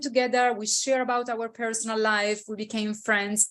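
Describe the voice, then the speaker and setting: With an Italian accent, a woman speaks at a moderate pace in a fairly high pitch. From Italy. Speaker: intercultural consultant. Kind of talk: interview. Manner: hesitant with fillers.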